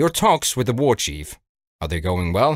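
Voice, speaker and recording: A man in a put-on character voice with very wide pitch swings around a medium pitch, at a moderate pace, on a very clean recording with a silent background. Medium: read story. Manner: dry, calm, coolly understated.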